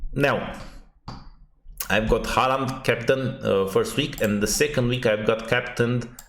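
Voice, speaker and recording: A man with a Romanian accent speaks at a fairly slow pace in a medium pitch, his loudness very even and his intonation fairly even, with long, frequent pauses and audible room echo. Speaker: fantasy football youtuber. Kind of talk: unedited casual analysis monologue. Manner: halting, many fillers.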